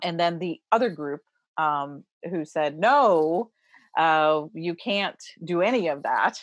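Very slowly, a woman with an American accent speaks at a fairly low pitch with ordinary pitch variation, in front of a quiet background. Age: 60s. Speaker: religious historian. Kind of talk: interview.

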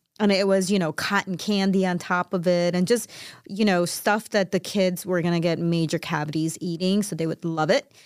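An unremarkable speaking voice with an American accent, at a moderate pace with fairly even intonation, on a very clean recording with a silent background. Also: woman, fairly low pitch for a woman, dry, close sound with no echo. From Chicago, US Midwest. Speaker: co-host. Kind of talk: casual chat. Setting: studio. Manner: laughs often.

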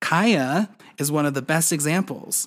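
A man speaks in a normal speaking voice at a fairly high pitch. The recording is very clean, with a silent background. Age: 30s. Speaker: podcast host and doll collector. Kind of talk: solo podcast monologue.

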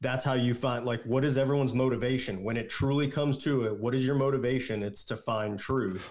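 A man with an unremarkable speaking voice and medium pitch talks at a fairly quick pace with fairly even intonation and hardly any pauses. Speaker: guest, friend of host. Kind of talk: casual chat.

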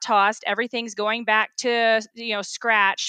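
In a very clean recording with a silent background, a woman with an American accent speaks in a bright, sharp tone, the sound dry and close with no echo. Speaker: activist, affected resident. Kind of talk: interview.

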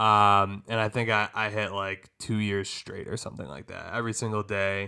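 A man's bright, sharp voice in a monotone, flat intonation. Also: very clean recording, silent background. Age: 20s. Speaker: host's husband. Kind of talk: casual chat. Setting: at home on a couch.

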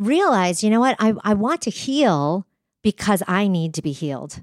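A woman with an American accent at a moderate pace, on a very clean recording with a silent background and a dry, close sound with no echo. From New Hampshire, US. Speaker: speaker and trainer. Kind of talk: interview conversation.

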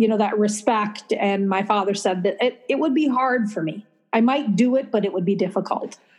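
A somewhat breathy woman with an American accent, fairly high pitch, ordinary pitch variation, and a moderate pace. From Minnesota, US Midwest. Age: 50s. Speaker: author and writing teacher. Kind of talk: casual interview.

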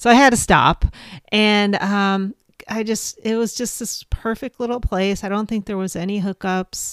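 A normal speaking voice at a moderate pace, with fairly even intonation. The recording is very clean and dry, close-miked with no echo and a silent background. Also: woman, medium pitch for a woman. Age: 50s. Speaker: podcast host. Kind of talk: casual monologue.

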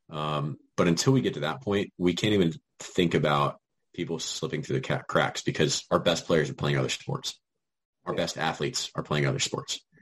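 A man talks at a moderate pace in a very deep, low pitch with vocal fry. His pitch swings very widely. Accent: American. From Virginia. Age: 20s. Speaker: soccer coach. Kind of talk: casual chat.

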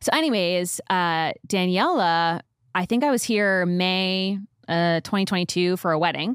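Recorded very cleanly with a silent background, a woman speaks in a plain, everyday voice at a fairly slow pace, with very even loudness and ordinary pitch variation. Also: medium pitch for a woman. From New York. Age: 30s. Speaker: podcast guest. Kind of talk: casual chat.

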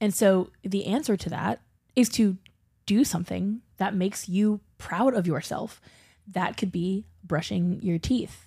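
Recorded very cleanly over a silent background, a woman with an American accent speaks at a fairly slow pace, her medium-pitched voice dark, mellow and somewhat breathy, with ordinary pitch variation. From US South. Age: 30s. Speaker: podcast co-host. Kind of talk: casual chat.

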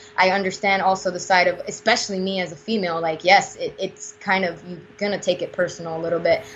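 Very fast and in a flat monotone, a woman speaks at a medium pitch. Noticeable background noise sits behind her. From Puerto Rico. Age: 20s. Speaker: pro wrestler. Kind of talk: interview.

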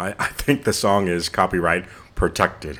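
Lively intonation at a moderate pace. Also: man. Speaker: podcast host and spoken word poet. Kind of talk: spoken word poetry performance, slam style. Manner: emphatic, rhythmic, impassioned delivery; warm, inspirational.

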